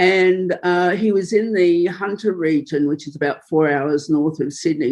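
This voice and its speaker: A woman talks with an Australian accent at a moderate pace. Her pitch is fairly low, with ordinary variation. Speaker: filmmaker and journalist. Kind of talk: interview.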